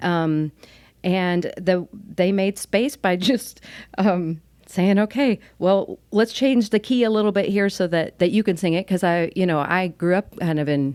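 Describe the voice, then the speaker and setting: A woman speaks at a fairly slow pace and medium pitch, with ordinary pitch variation and very even loudness, on a very clean recording with a silent background. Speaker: worship minister. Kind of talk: interview.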